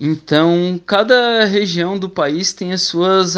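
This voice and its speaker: Over a quiet background, a man with a high voice speaks very slowly with fairly even intonation. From southern Brazil, Criciúma, Santa Catarina. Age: 30s. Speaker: stingless beekeeper, traffic officer. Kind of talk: radio interview.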